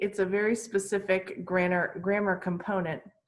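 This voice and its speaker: A woman speaks in an ordinary speaking voice at a medium pitch. Her pace is fairly slow. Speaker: English teacher. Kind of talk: online class lesson.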